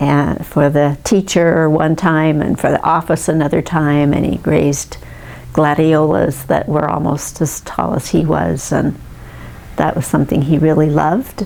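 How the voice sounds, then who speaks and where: With an American accent, a woman speaks at a fairly slow pace in a very deep, low pitch with ordinary pitch variation. Her loudness stays very even against noticeable background noise. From US West, Santa Monica, California. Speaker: family history narrator. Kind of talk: oral history recollection. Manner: halting, many fillers.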